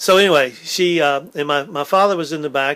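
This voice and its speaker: A man is speaking. He has a Louisiana accent. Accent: Southern US (Louisiana). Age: 80s+. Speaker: oral history interviewee. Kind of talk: oral history interview. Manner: halting, many fillers.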